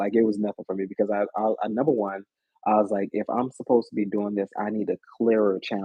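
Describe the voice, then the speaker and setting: A man talks with a fairly low pitch. His intonation is fairly even. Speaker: tarot reader. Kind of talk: casual chat. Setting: live stream. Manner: halting.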